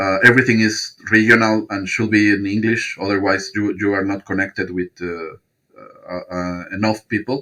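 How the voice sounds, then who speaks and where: A man with a Spanish accent, fairly low-pitched, bright and sharp in tone, monotone and flat, at a moderate pace. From Mexico. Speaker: podcaster. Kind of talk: interview. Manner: halting.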